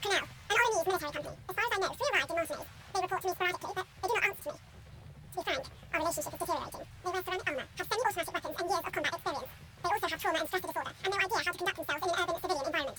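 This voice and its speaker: A woman uses a put-on character voice at an extremely high pitch, talking at a very fast pace with ordinary pitch variation. Clear background noise can be heard. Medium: video game. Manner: formal, measured.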